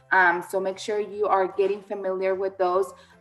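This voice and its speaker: The speaker keeps a moderate pace while music plays in the background. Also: woman. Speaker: admissions counselor. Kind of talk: informational webinar. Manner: halting, many fillers.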